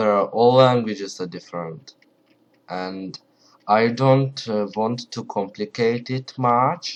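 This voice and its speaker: With a strong Ukrainian accent, a man talks at a very slow pace and medium pitch. His loudness swings widely, while his pitch varies in an ordinary way. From Ukraine. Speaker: language hobbyist vlogger. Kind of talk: casual tutorial. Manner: halting, many fillers; not loud.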